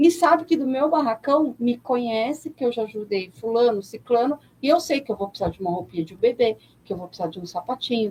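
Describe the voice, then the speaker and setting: Lively in intonation and fairly quick, a woman speaks at a high pitch with big swings in loudness. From São Paulo, Brazil. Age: 40s. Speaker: NGO president and religious leader. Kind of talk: radio interview.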